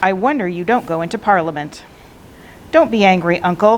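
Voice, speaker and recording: A woman speaks at a moderate pace in a medium pitch with lively intonation. Noticeable background noise sits behind her. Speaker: librarian reading aloud. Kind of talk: audiobook-style read-aloud of a classic novel.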